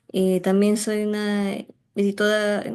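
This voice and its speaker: A woman talks in a dark, mellow tone at a fairly slow pace. The background is quiet. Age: 20s. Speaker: anthropology student and activist. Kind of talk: self-introduction in online workshop. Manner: hesitant, many fillers.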